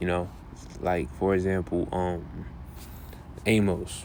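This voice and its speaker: A man is speaking. His pitch is very deep and low. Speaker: bible teacher. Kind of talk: bible lesson. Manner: halting.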